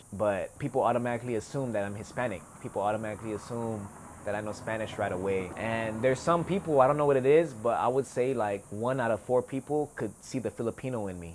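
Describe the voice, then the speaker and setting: Very fast speech from a man, pitch varying in an ordinary way. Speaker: rapper. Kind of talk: interview. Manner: soft-spoken; casual.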